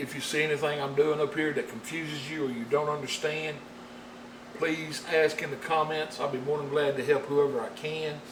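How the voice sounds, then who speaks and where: With a strong Southern US accent, a man speaks at a fairly high pitch in a monotone, flat intonation. Noticeable background noise and audible room echo fill the recording. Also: moderate pace. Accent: thick rural Southern US. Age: 50s. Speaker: painting instructor. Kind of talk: tutorial. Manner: folksy.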